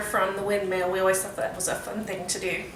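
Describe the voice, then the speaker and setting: Noticeable background noise and audible room echo surround a woman speaking with a Texan accent. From Texas. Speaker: student giving class speech. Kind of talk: impromptu class speech. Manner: casual, with fillers.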